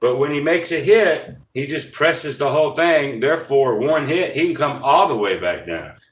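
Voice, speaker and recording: A man mumbles at a fairly high pitch and moderate pace. Audible room echo surrounds his voice. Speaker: gambling YouTuber. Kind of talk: live stream casual explanation. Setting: live stream. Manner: mumbling; hesitant, many fillers.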